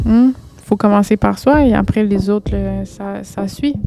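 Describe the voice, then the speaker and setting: A woman in a Quebec accent at a very slow pace, medium in pitch, over noticeable background noise. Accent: Québécois French. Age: late 20s. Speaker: poet. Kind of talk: casual reflective monologue. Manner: casual, with many fillers.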